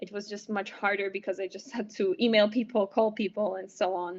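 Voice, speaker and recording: A woman's voice with a Polish accent. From Poland. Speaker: medical student. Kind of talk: interview. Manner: halting, many fillers.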